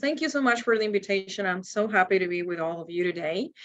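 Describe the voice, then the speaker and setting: Against a quiet background, a woman with a Spanish accent speaks at a very fast pace in a bright, sharp tone. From Cuba. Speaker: university admissions counselor. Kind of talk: webinar presentation. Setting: video webinar.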